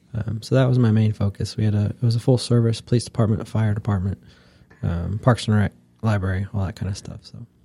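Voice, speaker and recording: At a very fast pace, a man with a Midwestern American accent speaks with a fairly low pitch and fairly even intonation. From US Midwest, northeast Ohio. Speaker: local government administrator, army veteran. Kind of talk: interview. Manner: many filler words and pauses.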